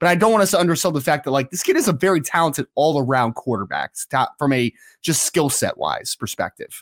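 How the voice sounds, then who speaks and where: Talking at a fairly quick pace, a man has a normal speaking voice with fairly high pitch and lively intonation, on a very clean recording with a silent background and a dry, close sound with no echo. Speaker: recruiting analyst. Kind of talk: casual sports analysis chat.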